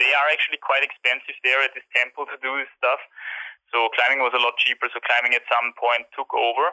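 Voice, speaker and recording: A man with a German accent talks at a fairly quick pace. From Austria. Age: 20s. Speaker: climber and YouTuber. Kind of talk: interview. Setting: phone call.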